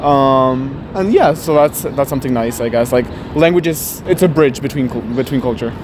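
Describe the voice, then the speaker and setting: A man with a Spanish accent speaks at a fairly high pitch over noticeable background noise. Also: ordinary pitch variation, moderate pace. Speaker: interviewee. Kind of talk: street interview. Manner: hesitant, many fillers.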